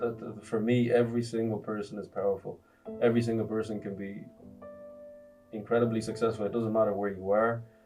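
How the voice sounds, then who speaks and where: With an Irish accent, a man speaks monotone and flat at a fairly low pitch over background music. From Ireland (raised from age 8, born in Congo). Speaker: entrepreneur and motivational speaker. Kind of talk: interview answer.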